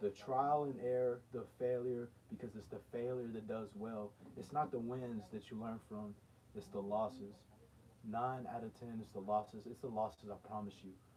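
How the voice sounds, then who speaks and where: Background noise is noticeable. A man speaks at a medium pitch with fairly even intonation. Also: moderate pace. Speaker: motivational livestreamer. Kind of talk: motivational talk. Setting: livestream. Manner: not speaking loud.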